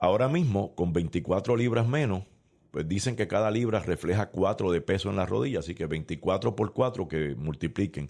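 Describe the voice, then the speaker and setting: With a very deep, low pitch and lively intonation, a man talks at a fairly quick pace in a very clean recording with a silent background. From Puerto Rico, San Juan. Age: 60s. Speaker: former politician. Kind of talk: interview.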